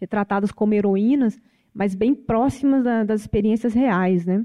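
A woman speaks at a fairly high pitch and a moderate pace. Her tone is dark and mellow, recorded dry and close with no echo. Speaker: film studies professor. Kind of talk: panel debate.

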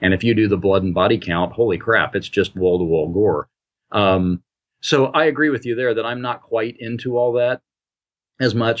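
This man has a normal speaking voice with an American accent, pitched fairly low. He keeps a moderate pace and ordinary pitch variation. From US Midwest, Indiana. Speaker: author and anthology editor. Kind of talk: casual interview. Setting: Skype call.

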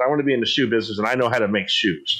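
A man with an American accent, very fast, in a bright, sharp tone. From San Diego, California. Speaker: podcast host. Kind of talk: casual chat.

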